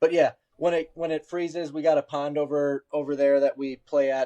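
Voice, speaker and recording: With an Upper Midwest accent, a man talks at a fairly quick pace in a fairly high pitch, his intonation fairly even. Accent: Upper Midwest American. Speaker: podcast host. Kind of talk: casual chat.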